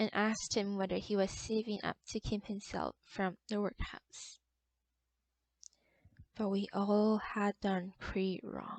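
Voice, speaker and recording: A woman with a non-native accent speaks at a very slow pace and a medium pitch. Her intonation stays monotone and flat. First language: non-native English speaker. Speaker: literature enthusiast reading stories. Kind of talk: short story reading.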